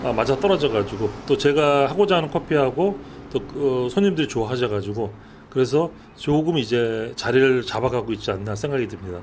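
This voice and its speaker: Talking at a fairly quick pace, a man keeps a medium pitch with lively intonation. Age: 60s. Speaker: cafe owner and barista. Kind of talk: interview. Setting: in a cafe. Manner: hesitant with frequent fillers.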